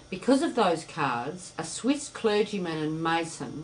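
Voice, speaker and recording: With an Australian accent, a woman talks at a fairly slow pace in very wide pitch swings, with audible room echo around her. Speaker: spiritual teacher. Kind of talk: lecture.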